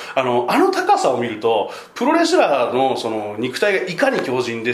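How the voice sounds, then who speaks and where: Noticeable background noise and audible room echo fill the recording. Over them, a man talks at a fairly quick pace. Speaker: travel journalist. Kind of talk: interview. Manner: talkative, fast.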